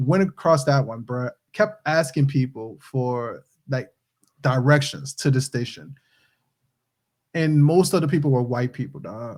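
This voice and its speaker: In a slight New Orleans accent, the speaker talks at a fairly slow pace with ordinary pitch variation and long, frequent pauses on a very clean recording with a silent background. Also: man, fairly high pitch for a man. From New Orleans, Louisiana. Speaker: podcast co-host, movie reviewer. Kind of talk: casual chat. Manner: halting.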